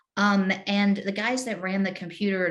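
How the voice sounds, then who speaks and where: The voice belongs to a woman and sits at a medium pitch. It has a somewhat breathy quality. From UK, with time in the US. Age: 40s. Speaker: former government official in internet policy. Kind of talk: interview. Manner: casual, with many fillers and repeated words.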